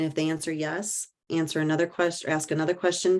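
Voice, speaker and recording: A woman talks at a fairly quick pace with a fairly low pitch and a Midwestern US accent. The background is quiet. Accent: US Midwest. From rural Iowa. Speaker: mental health advocate and author. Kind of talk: talk Q&A. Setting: presentation to audience.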